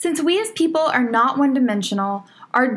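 Her pitch swings very widely as a woman with an American accent talks at a moderate pace. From Texas. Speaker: podcast host and fitness coach. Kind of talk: casual podcast monologue. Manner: upbeat, energetic.

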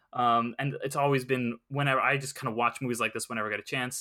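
Over a very clean recording with a silent background, a man speaks at a very fast pace with a bright, sharp tone. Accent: American. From Southern California. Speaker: freelance entertainment writer and podcaster. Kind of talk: casual chat. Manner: hesitant, many fillers.

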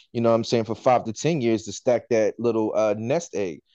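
A man with an American accent speaks at a medium pitch with ordinary pitch variation and a dark, mellow tone, in a dry, close sound with no echo against a quiet background. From Washington DC area. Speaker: podcast co-host, chef. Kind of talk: casual chat.

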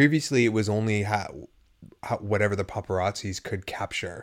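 On a very clean recording with a silent background, a man with an unremarkable speaking voice talks at a fairly low pitch and moderate pace with ordinary pitch variation. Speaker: podcast co-host. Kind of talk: casual chat.

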